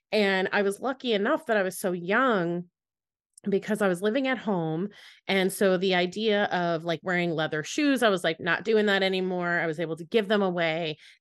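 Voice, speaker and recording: Against a quiet background, a woman uses an ordinary speaking voice at a moderate pace. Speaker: podcast host. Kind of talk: casual interview chat.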